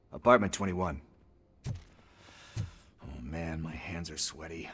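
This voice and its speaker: Using a put-on character voice, a man speaks fairly slowly in a raspy, very deep, low pitch. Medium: video game. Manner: casual, rambling, slangy.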